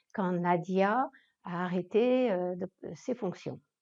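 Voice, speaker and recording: A woman's dark, mellow tone over a quiet background. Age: 60s. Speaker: club treasurer. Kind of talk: interview.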